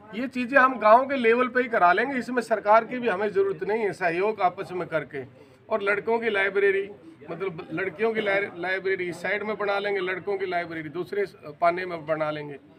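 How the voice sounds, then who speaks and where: Noticeable background noise runs under a man speaking at a moderate pace. His pitch is high, with ordinary variation. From Haryana, India. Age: 60s. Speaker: retired paramilitary officer and local election candidate. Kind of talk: interview.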